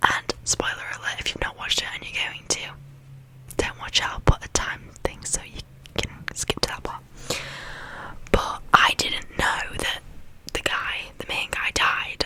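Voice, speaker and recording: Whispering at a fairly slow pace, a woman leaves long, frequent pauses, with big swings in loudness and noticeable background noise. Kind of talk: ASMR would-you-rather game, casual chatty talk to camera. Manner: whispered, soft, friendly.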